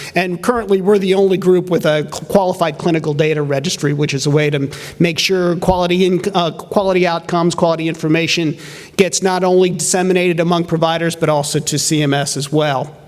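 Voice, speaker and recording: A man talks at a very fast pace and a high pitch with fairly even intonation, amid noticeable background noise and audible room echo. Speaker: representative of a physicians' association. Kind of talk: conference presentation.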